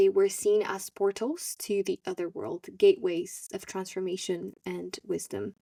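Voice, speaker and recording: A woman with a non-native accent talks at a fairly slow pace, with hardly any pauses. Her loudness swings widely, and the sound is dry and close with no echo. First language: not English. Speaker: podcast host. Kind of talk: solo podcast monologue. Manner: hesitant, with self-corrections.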